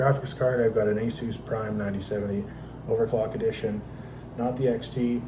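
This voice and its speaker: A man speaks with monotone, flat intonation. Noticeable background noise and audible room echo fill the recording. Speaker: PC gaming content creator. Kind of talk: casual tutorial. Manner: unscripted, unedited.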